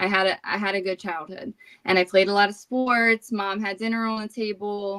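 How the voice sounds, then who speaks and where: A woman with a New Jersey accent speaks at a medium pitch and moderate pace in a bright, sharp tone with monotone, flat intonation. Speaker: recovering alcoholic sharing her story. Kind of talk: recovery testimony in interview.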